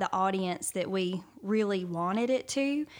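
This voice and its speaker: A woman with a Southern US accent at a moderate pace, ordinary pitch variation, on a very clean recording with a silent background. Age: 30s. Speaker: pastor. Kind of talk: casual chat.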